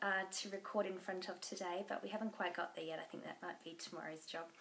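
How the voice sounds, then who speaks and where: Against noticeable background noise, a woman with an Australian accent talks at a very fast pace. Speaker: knitting podcaster. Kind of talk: casual chat.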